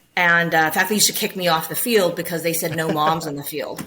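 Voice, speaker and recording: In an American accent, a woman with a fairly low pitch speaks at a very fast pace amid noticeable background noise. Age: 50s. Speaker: optometrist. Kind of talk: interview. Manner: animated.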